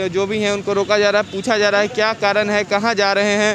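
Noticeable background noise accompanies a man talking at a moderate pace, the sound dry with no echo. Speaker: TV field reporter. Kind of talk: news field report. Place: street. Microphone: handheld.

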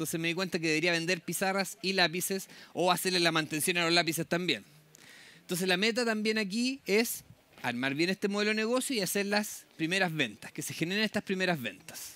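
In a dry sound with no echo, a man speaks at a fairly quick pace with a high pitch and a bright, sharp tone. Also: ordinary pitch variation. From southern Chile (Temuco); southern Chile. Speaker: public agency program manager. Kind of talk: conference talk. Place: tent.

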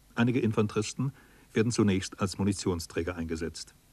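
A man with a plain, everyday voice, fairly low pitch and fairly even intonation. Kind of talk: documentary narration. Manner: formal, measured, sober; steady, authoritative delivery.

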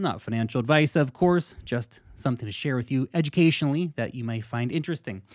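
Delivered at a fairly quick pace with ordinary pitch variation, the speech plays against a quiet background. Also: man. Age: 30s. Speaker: crypto investing YouTuber. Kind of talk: direct-to-camera monologue. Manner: animated. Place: home room.

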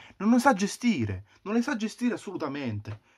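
A man is shouting at a fairly quick pace, his intonation lively. The background is quiet. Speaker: football fan vlogger. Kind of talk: angry rant, furious fan tirade. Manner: shouting, furious, ranting; repetitive, exasperated, swearing. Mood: angry, frustrated. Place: home room. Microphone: webcam.

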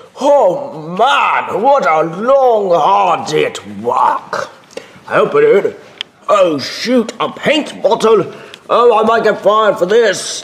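Putting on a character voice with a British accent, a man speaks at a very slow pace in a high pitch.

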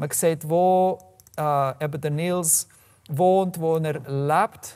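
Against a quiet background, a man talks in a fairly high pitch with ordinary pitch variation. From Canada, Calgary, Alberta. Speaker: software developer and open data activist; presenter. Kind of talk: presentation talk. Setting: room with live audience. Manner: halting, many fillers. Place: meeting room.

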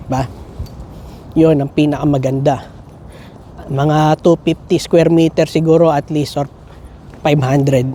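A man at a very slow pace, with monotone, flat intonation, long, frequent pauses and noticeable background noise. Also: fairly high pitch for a man. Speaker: nurse and family vlogger. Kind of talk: casual vlog chat.

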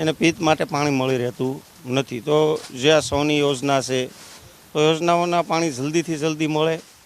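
A man with a plain, everyday voice speaks at a fairly high pitch with fairly even intonation, the sound dry with no echo. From Gujarat. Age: young. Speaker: politician. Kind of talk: interview. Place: open country. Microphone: handheld.

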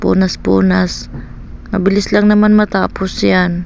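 Noticeable background noise sits behind a woman speaking at a fairly slow pace. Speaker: vlogger, stay-at-home mother. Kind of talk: casual vlog voiceover. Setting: at home. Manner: halting, stammering.

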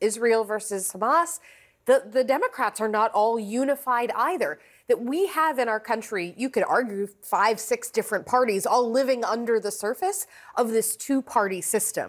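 A woman's fairly high-pitched voice at a moderate pace, over a quiet background. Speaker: political commentator. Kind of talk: TV news panel discussion. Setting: TV studio. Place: studio. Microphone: lapel.

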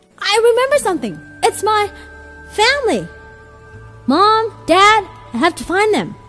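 Over clear music in the background, a woman uses a put-on character voice at an extremely high pitch and a moderate pace. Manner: excited, cartoonish.

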